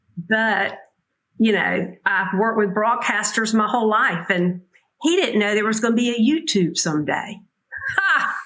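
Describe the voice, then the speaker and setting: In a Southern US accent, a woman with a fairly high voice talks at a moderate pace, her pitch varying in an ordinary way and her loudness very even, with audible room echo. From US South, Georgia (Statesboro). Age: 60s. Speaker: author and public relations professional. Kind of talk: interview.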